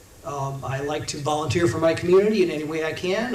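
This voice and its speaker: A man with a Midwestern US accent at a fairly quick pace, with audible room echo and noticeable background noise. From Indiana. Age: 60s. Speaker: congressional candidate. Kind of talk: campaign talk to a local meeting.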